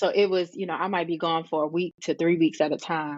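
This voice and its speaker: A woman speaks with an American accent. Her fairly low voice stays monotone and flat. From Richmond, Virginia, US. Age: 40s. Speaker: hairstylist and educator. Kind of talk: interview.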